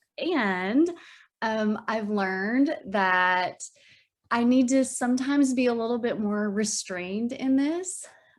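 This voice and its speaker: In a very clean recording with a silent background, someone with an Arkansas accent speaks at a very slow pace with lively intonation. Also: woman. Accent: Arkansan. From US South, Arkansas. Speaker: minister. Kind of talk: sermon dialogue in worship service.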